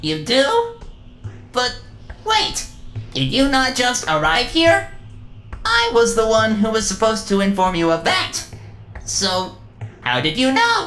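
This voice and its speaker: Over clear background music, a put-on character voice moves at a fairly slow pace with long, frequent pauses. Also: female-sounding voice. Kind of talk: grandiose prophetic speech. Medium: fan dub. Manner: formal, stilted, no contractions.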